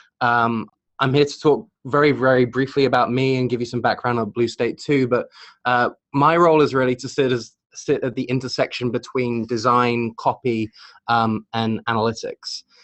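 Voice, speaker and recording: Speaking with a British accent, a man holds a medium pitch and moderate pace with fairly even intonation. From Britain. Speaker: creative director at digital agency. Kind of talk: webinar presentation. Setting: online webinar. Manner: hesitant, many fillers.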